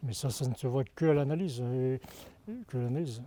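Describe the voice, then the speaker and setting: Somewhat breathy and dark, mellow in tone, this voice shows ordinary pitch variation. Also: man. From Normandy, France. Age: 60s. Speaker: farmer. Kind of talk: testimony. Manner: halting, with repetitions and fillers.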